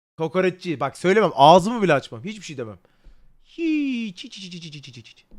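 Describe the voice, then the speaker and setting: A man shouts in an animated tone at a moderate pace, his high pitch making very wide swings and his loudness rising and falling sharply. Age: 20s. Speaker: livestreamer. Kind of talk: casual livestream chat. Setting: livestream. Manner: loud, almost shouting.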